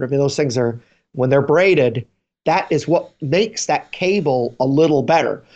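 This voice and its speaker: Against a quiet background, a man with a fairly high pitch uses a plain, everyday voice, moderate pace and ordinary pitch variation. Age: 50s. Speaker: guitar podcast co-host. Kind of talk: casual chat. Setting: video call.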